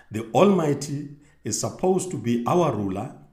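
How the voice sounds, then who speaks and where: A man's somewhat breathy voice carries very wide pitch swings. Audible room echo surrounds it. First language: not English. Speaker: religious video host. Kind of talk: bible teaching monologue. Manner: halting with self-corrections.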